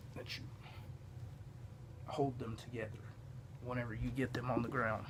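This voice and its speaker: A man talks at a moderate pace in a somewhat breathy voice. His intonation stays flat and monotone. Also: medium pitch for a man. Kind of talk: casual yoga instruction to camera.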